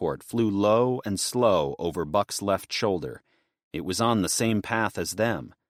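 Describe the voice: This is plain reading aloud over a quiet background.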